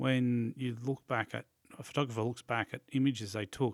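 The voice has an Australian accent and moves at a moderate pace with fairly even intonation. The sound is dry and close, with no echo. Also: man. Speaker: podcast host. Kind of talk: interview. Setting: studio.

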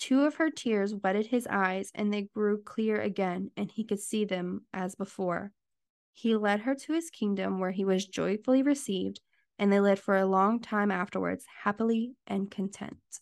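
In a normal speaking voice, a woman talks at a medium pitch and moderate pace with ordinary pitch variation. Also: quiet background. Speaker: podcast host. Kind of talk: bedtime story reading.

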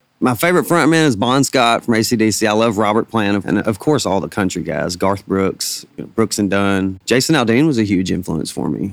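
In a Southern US accent, a man with a fairly low voice talks at a moderate pace with lively intonation and hardly any pauses, on a very clean recording with a silent background. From Arkansas Delta (Bald Knob). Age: 30s. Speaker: singer-songwriter. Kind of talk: interview.

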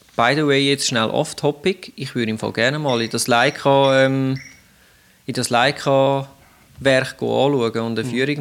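Here a man speaks at a medium pitch with fairly even intonation. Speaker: podcast co-host. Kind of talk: casual chat with partly read-out history.

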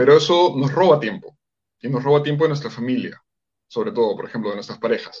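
A man speaks at a very fast pace, somewhat breathy, with very wide pitch swings. His loudness swings widely too. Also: fairly high pitch for a man. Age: 40s. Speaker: psychologist and coach. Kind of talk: interview on relationships.

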